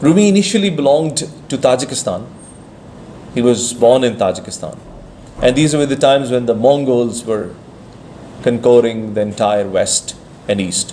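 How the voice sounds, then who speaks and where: Long, frequent pauses break up a man's lively intonation, with audible room echo around him. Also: medium pitch for a man, moderate pace. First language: Persian. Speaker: speaker at a Sufi conference. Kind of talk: conference talk.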